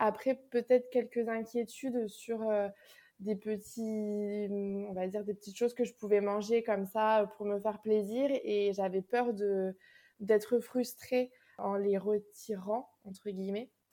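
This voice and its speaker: Against a silent background on a very clean recording, a woman speaks very slowly in a dark, mellow tone with flat, monotone intonation. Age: 20s. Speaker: school education counselor, dietetic patient. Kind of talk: casual interview testimony. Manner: hesitant with repetitions.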